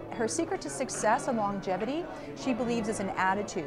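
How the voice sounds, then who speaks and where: Music plays in the background. The speech comes at a very fast pace. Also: woman. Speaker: college associate dean. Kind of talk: interview answer.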